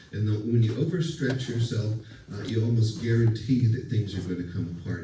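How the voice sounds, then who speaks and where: A man's medium-pitched voice sounds out with audible room echo around it. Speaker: college lecturer. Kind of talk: lecture. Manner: hesitant, many fillers; loud.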